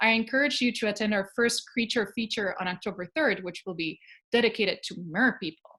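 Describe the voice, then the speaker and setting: A woman's fairly high voice at a fairly quick pace with ordinary pitch variation, in a very clean recording with a silent background. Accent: Spanish. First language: Spanish. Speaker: archaeologist. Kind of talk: lecture. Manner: hesitant fillers.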